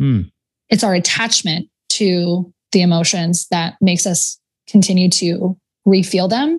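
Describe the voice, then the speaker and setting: Recorded with a dry, close sound and no echo, a woman speaks at a fairly slow pace with long, frequent pauses, a somewhat breathy medium-pitched voice and ordinary pitch variation. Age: 20s. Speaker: productivity coach. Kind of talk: casual chat.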